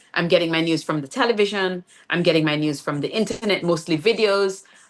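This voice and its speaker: In a Jamaican accent, a woman with a fairly low pitch speaks at a very fast pace with ordinary pitch variation. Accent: Jamaican, kept on purpose. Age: 50s. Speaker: playwright and poet. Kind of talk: interview conversation. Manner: hesitant, many fillers and repeats.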